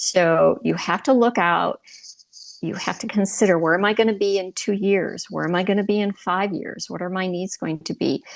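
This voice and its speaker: A normal speaking voice proceeds at a moderate pace with fairly even intonation. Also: woman, medium pitch for a woman. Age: 60s. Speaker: retiree, divorce podcast host. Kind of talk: interview podcast.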